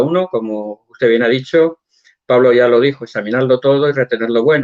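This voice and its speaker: A man uses a normal speaking voice at medium pitch. He keeps a moderate pace with ordinary pitch variation. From Spain. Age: 60s. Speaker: church member guest. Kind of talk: interview.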